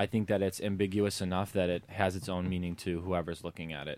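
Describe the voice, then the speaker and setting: In a very clean recording with a silent background, a man with a Chicago accent speaks at a fairly quick pace. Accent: Chicago American. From US Midwest, Chicago. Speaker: street artist, painter. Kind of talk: interview.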